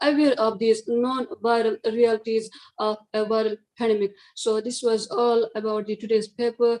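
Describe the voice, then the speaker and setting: This woman's voice is fairly high-pitched, with a dark, mellow tone and fairly even intonation. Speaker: conference paper presenter. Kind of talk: academic presentation and Q&A. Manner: fast; halting, many fillers.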